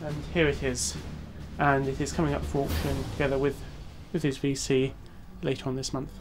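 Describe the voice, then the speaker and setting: Over music in the background, the speech moves at a fairly quick pace yet breaks into long, frequent pauses. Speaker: auction house specialist. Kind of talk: interview answer. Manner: hesitant, conversational.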